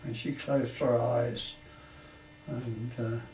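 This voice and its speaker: Fairly even intonation from a man at medium pitch, amid noticeable background noise and audible room echo. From London, England. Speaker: war veteran. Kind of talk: life story interview. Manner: halting.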